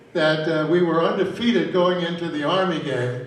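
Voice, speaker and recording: Audible room echo comes through together with noticeable background noise. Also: man. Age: 80s+. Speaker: retired soccer coach. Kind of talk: speech to an audience. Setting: stage with audience at a convention. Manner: halting, with repetitions.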